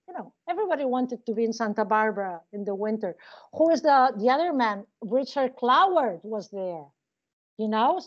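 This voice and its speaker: At a moderate pace, a woman with a Spanish accent speaks in a fairly high voice with very wide pitch swings. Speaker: criminology professor. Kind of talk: interview. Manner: halting.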